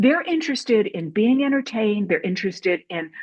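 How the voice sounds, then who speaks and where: A woman talks very fast in an American accent, her fairly high voice somewhat breathy. Her pitch swings very widely. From US Midwest, Saint Louis. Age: 60s. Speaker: documentary filmmaker. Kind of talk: casual talk. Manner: animated.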